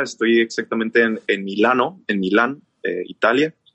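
Here a man talks in a plain, everyday voice. His pitch is medium and his pace fairly slow. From northern Mexico, Chihuahua. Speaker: singer and musician. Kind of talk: casual chat.

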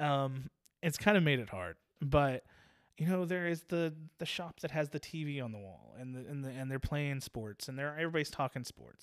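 An ordinary speaking voice from a man with an American accent, fairly high in pitch, with ordinary pitch variation, a moderate pace and big swings in loudness, in a dry, close sound with no echo on a very clean recording with a silent background. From Virginia Beach, Virginia. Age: 30s. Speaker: barber and shop owner. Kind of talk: casual interview conversation.

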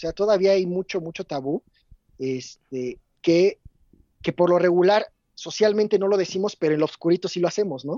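Long, frequent pauses break up a man's moderate pace, his pitch high with ordinary variation. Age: 30s. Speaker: podcast guest. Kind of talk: casual chat.

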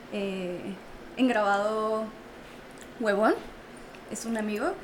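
A woman's fairly high voice with a Mexican accent, very slow and fairly even in intonation, amid noticeable background noise and audible room echo. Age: 20s. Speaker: entrepreneur. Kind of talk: casual chat. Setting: studio.

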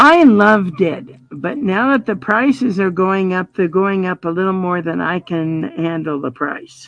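A woman talks in an ordinary speaking voice at medium pitch. Her pace is fairly slow, with lively intonation and hardly any pauses. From Colorado. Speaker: blind guide dog user. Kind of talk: interview.

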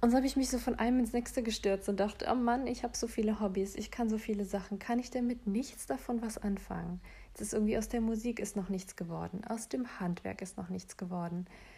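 A woman at a very fast pace with hardly any pauses, fairly high pitch, fairly even intonation and a dark, mellow, somewhat breathy tone. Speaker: solo podcaster. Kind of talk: casual monologue.

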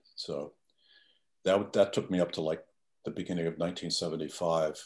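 Fairly even intonation at a moderate pace against a quiet background. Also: man. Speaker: retired chemical engineer. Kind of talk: casual chat.

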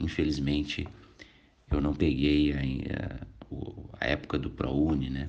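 A man speaks at a very slow pace in a very deep, low voice. His intonation is flat and monotone, with long, frequent pauses. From southern Brazil, Canoas (Rio Grande do Sul). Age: 40s. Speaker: lawyer and vice-mayor candidate. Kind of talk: interview.

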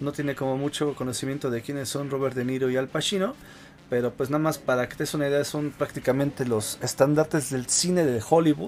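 Speaking with a Mexican accent, a man talks at a fairly high pitch and a fairly quick pace with ordinary pitch variation. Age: 30s. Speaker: gaming podcast host. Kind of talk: casual chat.

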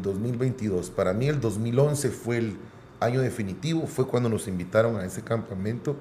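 A man with a Guatemalan accent and medium pitch speaks fairly slowly with lively intonation in audible room echo. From Guatemala City. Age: 40s. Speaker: musician. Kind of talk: casual interview.

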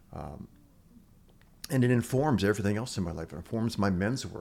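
With an Upper Midwest accent, a man speaks with vocal fry and lively intonation. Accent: Upper Midwest American. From US Midwest (Chicago-born, raised Milwaukee). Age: 70s. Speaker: retired chemistry teacher and men's work leader. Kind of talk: casual interview. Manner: emotional, heartfelt.

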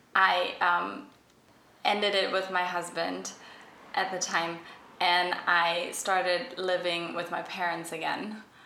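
A woman's fairly low, monotone, flat voice, very slow with long, frequent pauses, over noticeable background noise. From Germany. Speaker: fashion stylist. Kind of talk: casual chat. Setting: echoey room.

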